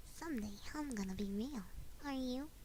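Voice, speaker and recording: Loud background noise sits behind a woman's high-pitched, put-on character voice. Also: moderate pace. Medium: virtual streamer.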